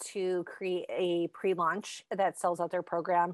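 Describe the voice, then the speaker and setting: A woman with a normal speaking voice talks at a medium pitch and a fairly slow pace. The sound is dry and close with no echo, and the recording is very clean with a silent background. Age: 40s. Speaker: copywriter. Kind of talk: casual chat.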